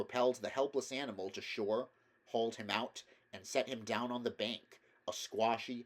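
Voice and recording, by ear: The voice reads aloud naturally. Its intonation is fairly even.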